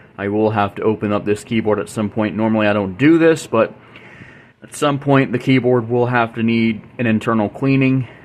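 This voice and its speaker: A man's plain, everyday voice at medium pitch, with ordinary pitch variation and a fairly quick pace. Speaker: YouTube music channel host. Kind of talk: casual tutorial-style demo.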